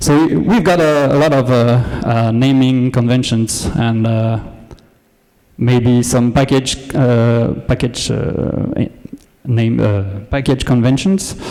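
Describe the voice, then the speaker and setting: A man with a French accent speaks at a very slow pace, his pitch medium and his pitch variation ordinary. His loudness stays very even, with long, frequent pauses and audible room echo. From France. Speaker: data engineer, conference speaker. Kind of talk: conference talk. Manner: hesitant, many filler words.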